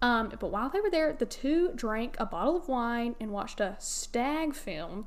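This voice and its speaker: A woman's high-pitched voice with very wide pitch swings, a Southern US accent, a moderate pace and hardly any pauses. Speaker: podcast host. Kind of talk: casual chat. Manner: mumbled, doesn't enunciate.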